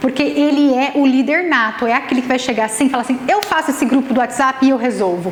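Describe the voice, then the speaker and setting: Amid audible room echo and noticeable background noise, a woman talks at a fairly quick pace in a high pitch with ordinary pitch variation. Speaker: nutritionist and Ayurvedic therapist giving a talk. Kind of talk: lecture. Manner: fast; animated.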